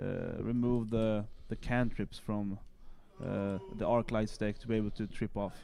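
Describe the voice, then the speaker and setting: A fairly low, dark, mellow male voice in a flat monotone at a fairly slow pace. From Colombia. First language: Spanish. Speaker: esports caster. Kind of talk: live game commentary. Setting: live stream.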